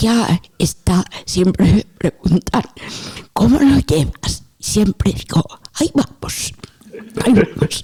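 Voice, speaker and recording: Very slow and marked by long, frequent pauses, a woman's medium-pitched voice holds a very even loudness while her pitch swings very widely. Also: dry, close sound with no echo. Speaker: theologian and author. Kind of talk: interview.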